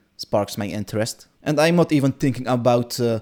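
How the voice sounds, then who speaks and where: A man with a Dutch accent and a medium pitch, on a very clean recording with a silent background. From Netherlands. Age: 20s. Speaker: gaming content creator. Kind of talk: casual vlog monologue. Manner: unscripted, hesitant with fillers.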